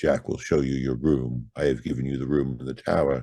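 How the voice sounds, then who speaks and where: Putting on a character voice, a man with a very deep, low pitch speaks at a fairly quick pace. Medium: read story. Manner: flat, unvarying, ominous.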